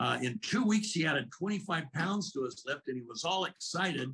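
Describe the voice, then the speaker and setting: A man with an American accent talks at a fairly quick pace. His tone is bright and sharp, and his intonation is lively. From Arizona. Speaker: product spokesman. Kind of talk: sales presentation. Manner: animated.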